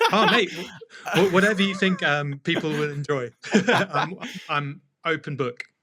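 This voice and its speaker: With a southern English accent, a man speaks at a high pitch and leaves long, frequent pauses. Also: ordinary pitch variation, moderate pace. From England, just outside London. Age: 30s. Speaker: DJ, producer, turntablist. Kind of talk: casual interview chat.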